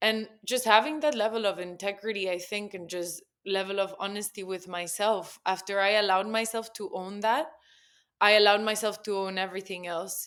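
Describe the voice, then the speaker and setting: In a very clean recording with a silent background, the speaker talks at a fairly quick pace with a Spanish accent and fairly even intonation. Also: woman, medium pitch for a woman. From Spain. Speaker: copywriter and poet. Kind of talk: casual chat.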